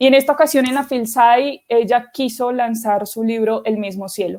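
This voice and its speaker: A woman speaks at a high pitch in a dark, mellow tone. Her intonation is fairly even. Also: very clean recording, silent background. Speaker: literary scholar and editor. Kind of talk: lecture. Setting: virtual conference livestream.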